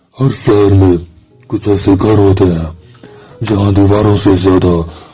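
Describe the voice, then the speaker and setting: Music playing behind a voice of ordinary pitch variation. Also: man. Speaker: horror story narrator. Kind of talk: horror story narration.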